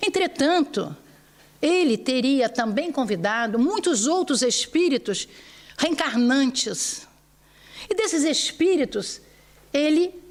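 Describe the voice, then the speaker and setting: Very wide pitch swings mark this woman's high voice, which carries a Brazilian accent. She speaks at a very slow pace. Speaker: spiritist lecturer. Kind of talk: religious lecture.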